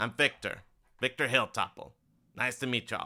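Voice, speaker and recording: In a put-on character voice, a man speaks gravelly and at a moderate pace on a very clean recording with a silent background. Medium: actual play. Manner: folksy, chatty, drawling.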